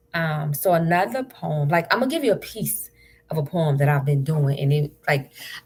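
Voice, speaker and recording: Speaking at a moderate pace, a woman with a very deep, low voice uses lively intonation over noticeable background noise. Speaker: spoken word poet. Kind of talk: casual talk to camera on a live stream. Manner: upbeat.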